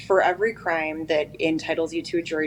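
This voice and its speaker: A woman with an American accent talks at a fairly quick pace. Noticeable background noise is present. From eastern Oregon, US. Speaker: prosecutor and judicial candidate. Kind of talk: interview. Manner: fast.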